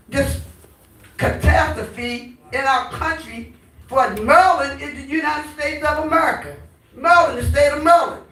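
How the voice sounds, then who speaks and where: A woman's animated, high-pitched voice at a moderate pace, with ordinary pitch variation, big swings in loudness, audible room echo and noticeable background noise. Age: 70s. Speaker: community activist. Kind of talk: town hall comment.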